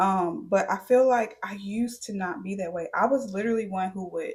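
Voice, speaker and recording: Lively intonation in a somewhat breathy female voice. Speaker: beauty and lifestyle vlogger. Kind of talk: casual Q&A monologue.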